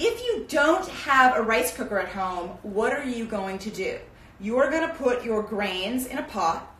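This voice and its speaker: In a room with audible echo, a woman talks at a moderate pace with lively intonation. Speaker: cooking teacher. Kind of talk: tutorial. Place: kitchen. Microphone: camera far.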